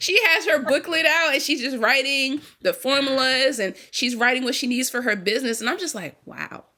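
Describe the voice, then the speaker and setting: A woman with an American accent speaks in a raised, projected voice at a high pitch. Her tone is animated, her pace moderate, with hardly any pauses. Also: ordinary pitch variation. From US Virgin Islands (St. Thomas). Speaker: small business owner, baker. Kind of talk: podcast interview. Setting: podcast recording.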